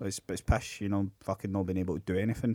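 A man with a Scottish accent speaks very fast, the sound dry and close with no echo. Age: 30s. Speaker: podcast co-host. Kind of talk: casual chat.

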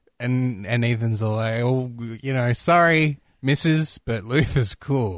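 Recorded very clean against a silent background, a man with an unremarkable speaking voice talks at medium pitch and a fairly slow pace with ordinary pitch variation. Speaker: podcast host. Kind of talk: casual chat. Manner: joking, playful.

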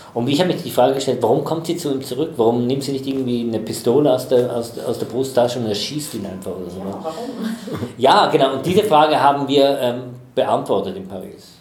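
A man at medium pitch speaks with lively intonation, with audible room echo and noticeable background noise around him. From Switzerland, Chur (Graubünden). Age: 40s. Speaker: theatre festival director. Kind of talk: interview.

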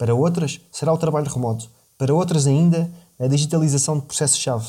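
In a very clean recording with a silent background, a man with a European Portuguese accent speaks at a fairly quick pace in a fairly high pitch, his tone dark and mellow, somewhat breathy, with fairly even intonation. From Portugal. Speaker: podcast host. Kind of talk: scripted narration.

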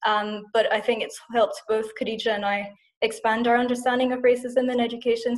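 In a Scottish accent, a woman speaks with a fairly high pitch and monotone, flat intonation. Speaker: podcast host and English teacher. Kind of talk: interview.

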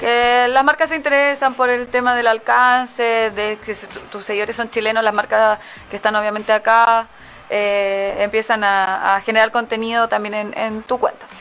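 An ordinary speaking voice, a woman speaks at a moderate pace with a fairly high pitch and fairly even intonation. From Santiago, Chile. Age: 20s. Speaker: dance studio founder. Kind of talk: interview.

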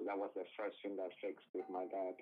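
This is a man speaking. He has a Colombian accent. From Cali, Colombia. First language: Spanish. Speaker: guest. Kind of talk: casual interview chat. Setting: phone call.

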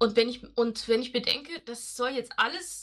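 Her tone is bright and sharp, her pitch high. The woman speaks at a fairly slow pace. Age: 40s. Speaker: nurse. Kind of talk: casual interview.

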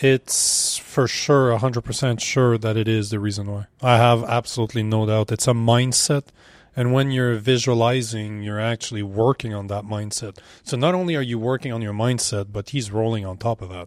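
A man speaks at a medium pitch and a moderate pace with fairly even intonation. The recording is very clean, with a silent background. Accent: French. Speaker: podcast host. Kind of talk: casual chat. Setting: gym.

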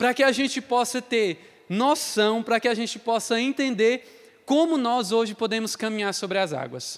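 At a moderate pace, a man speaks in an extremely high pitch. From Ceará, Brazil (Crato). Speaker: lay missionary / seminarian preacher. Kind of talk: sermon. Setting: online youth congress broadcast.

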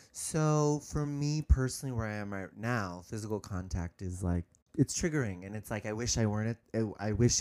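In an American accent, a man speaks at a medium pitch with ordinary pitch variation. The recording is very clean, with a silent background. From San Francisco Bay Area, California. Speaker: comedian and musician. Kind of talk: interview.

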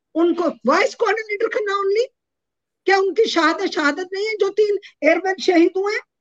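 A woman speaks at an extremely high pitch with ordinary variation. Her pace is moderate and the sound is dry and close with no echo. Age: 70s. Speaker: widow of an air force officer. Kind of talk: interview. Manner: impassioned.

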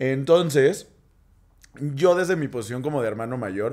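A man speaks at a moderate pace with a Mexican accent, his pitch medium and its variation ordinary. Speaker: podcast co-host. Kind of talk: casual chat.

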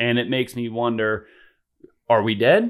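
A man talks at a medium pitch in a normal speaking voice. His pace is fairly slow. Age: 30s. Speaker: freestyle motocross rider. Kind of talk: casual chat.

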